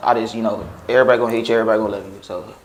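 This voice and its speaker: The speaker is a man. Audible room echo can be heard. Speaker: dancer. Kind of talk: interview. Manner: hesitant, filler-heavy.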